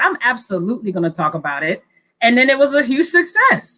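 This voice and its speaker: Loud and bright with a sharp tone, a woman with an American accent speaks at a fairly high pitch. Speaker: government innovation team member, new video host. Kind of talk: casual chat.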